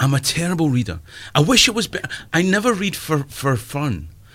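The speaker has an eastern Scottish accent and a moderate pace, with very wide pitch swings. The recording is very clean, with a silent background. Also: man. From eastern Scotland, Perth. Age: 50s. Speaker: comedian. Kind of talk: casual chat.

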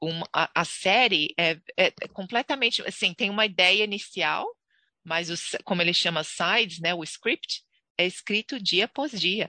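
A woman's bright, sharp voice with ordinary pitch variation, dry and close with no echo, over a quiet background. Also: medium pitch for a woman, fairly slow pace. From Brazil, Santos (São Paulo coast). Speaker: Brazilian expat, sales professional and actress. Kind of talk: interview.

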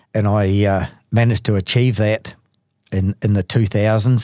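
A man talks in a monotone with flat intonation and a dark, mellow tone. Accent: New Zealand. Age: 60s. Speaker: recovering alcoholic, gardener and sausage maker. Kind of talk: personal testimony. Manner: halting.

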